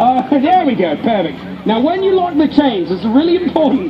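Crowd noise runs in the background as a man talks fairly quickly. He has an English accent and very wide pitch swings. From England. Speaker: street performer. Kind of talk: live street show crowd work. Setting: outdoors. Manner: joking, upbeat. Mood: joking, teasing. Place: street. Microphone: camera far.

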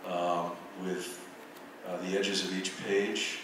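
A man with a very deep, low voice talks at a fairly slow pace in a flat monotone. Noticeable background noise and strong room echo fill the recording. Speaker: visual artist and professor. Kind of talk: lecture. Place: hall.

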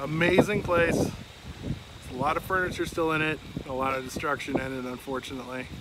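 Noticeable background noise sits under a man speaking at a fairly slow pace in a dry sound with no echo. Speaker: urban explorer host. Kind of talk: casual vlog chat. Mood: upbeat, joking. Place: open country. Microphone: phone near.

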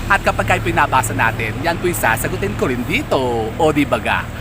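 A man speaks in an animated tone with lively intonation over noticeable background noise. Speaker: vlogger, lucky charm seller. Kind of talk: casual vlog presentation. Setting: outdoors.

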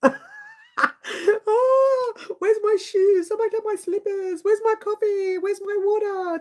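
This put-on character voice is extremely high, squeaky and whiny, moving at a fairly slow pace with hardly any pauses. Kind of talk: casual live stream chat. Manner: whining, complaining.

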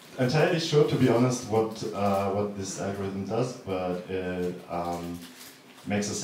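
A man's fairly low voice at a moderate pace, with light background noise and audible room echo. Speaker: conference presenter. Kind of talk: technical talk. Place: hall.

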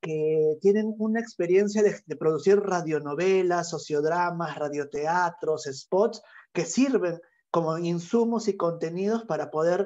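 With a dark, mellow tone and a high pitch, a man speaks at a fairly slow pace with ordinary pitch variation against a quiet background. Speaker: workshop facilitator. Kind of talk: online workshop. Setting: video call. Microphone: earbuds.

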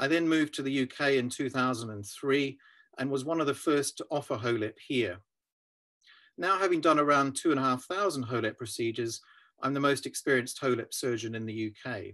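Over a quiet background, a man with a New Zealand accent speaks at a moderate pace in a bright, sharp tone with ordinary pitch variation. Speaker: urological surgeon. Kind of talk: scripted explainer. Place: home room. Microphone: webcam.

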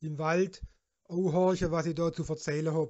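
In a Württemberg accent, a man speaks fairly slowly in a high pitch with fairly even intonation. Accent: Hohenlohe dialect (northern Württemberg). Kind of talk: dialect guide narration for a geocache puzzle. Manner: folksy, chatty.

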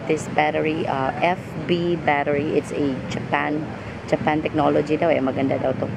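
Loud background noise surrounds a woman who speaks at a fairly slow pace with ordinary pitch variation. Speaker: vlogger. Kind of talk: casual vlog chat. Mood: relaxed, slightly rueful. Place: street. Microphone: phone near.

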